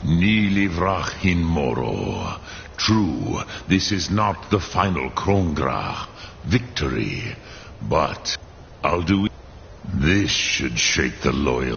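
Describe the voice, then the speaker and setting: Using a put-on character voice, a man speaks very slowly in a very deep, low pitch with long, frequent pauses and clear background noise. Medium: video game. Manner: slow, grave.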